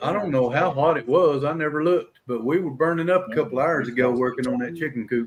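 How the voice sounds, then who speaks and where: A man talks in a Southern US accent at a fairly quick pace. His pitch sits fairly high, with ordinary pitch variation. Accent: US South. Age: old. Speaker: livestream host of open mic panel. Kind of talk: casual chat. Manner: loud.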